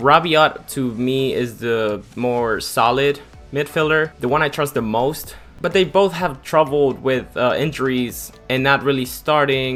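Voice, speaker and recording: Music plays in the background behind a man with an American accent. His pitch is fairly high. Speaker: football commentator YouTuber. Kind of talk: casual talk to camera.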